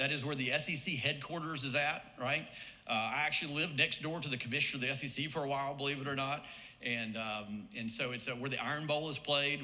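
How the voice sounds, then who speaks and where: Amid noticeable background noise and audible room echo, a man with an Alabama accent talks at a very fast pace in a medium pitch with ordinary pitch variation. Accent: Southern US (Alabama). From US South, Birmingham, Alabama. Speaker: marketing professor and former soccer coach. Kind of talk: hall of fame induction speech. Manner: conversational, with frequent fillers and repetitions.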